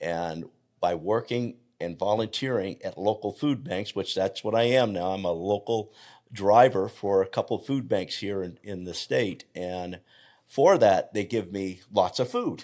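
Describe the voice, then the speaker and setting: A man's fairly low-pitched voice, a plain, everyday voice, with ordinary pitch variation and a fairly slow pace. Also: very clean recording, silent background. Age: 60s. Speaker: health coach. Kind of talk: interview conversation.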